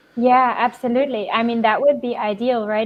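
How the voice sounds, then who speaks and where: A woman with a German accent speaks in a fairly high pitch and fairly even intonation. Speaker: developer relations engineer. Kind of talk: interview Q&A.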